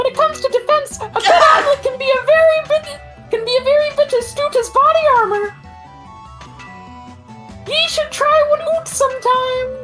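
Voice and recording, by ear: An extremely high, squeaky put-on character voice speaks at a moderate pace. Clear music plays in the background.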